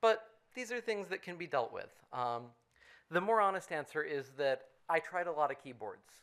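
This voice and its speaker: This man has a high pitch and an American accent, with very wide pitch swings. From United States. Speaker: programmer, conference speaker. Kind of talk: conference talk. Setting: conference room with audience. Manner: fast.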